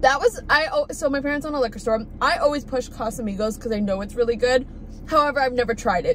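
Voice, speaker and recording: Over light background noise, the voice shows ordinary pitch variation in a dry sound with no echo. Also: woman. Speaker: food vlogger. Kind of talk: casual vlog chat. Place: car. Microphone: phone near.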